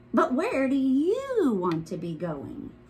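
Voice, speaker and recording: This is a put-on character voice that sounds female and is high in pitch for a woman. The pace is fairly slow. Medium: read story. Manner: calm, gently probing.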